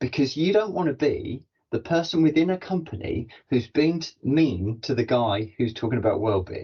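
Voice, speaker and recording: An enthusiastic man speaks with hardly any pauses and very wide pitch swings. His voice is somewhat breathy and fairly high in pitch. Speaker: corporate podcast host and learning and development professional. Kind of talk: interview conversation. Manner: fast.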